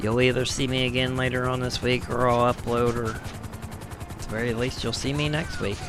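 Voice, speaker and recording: The speech runs on with hardly any pauses. Noticeable background noise sits behind it. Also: moderate pace. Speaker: gaming streamer. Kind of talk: live gameplay commentary. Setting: live stream. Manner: casual, conversational.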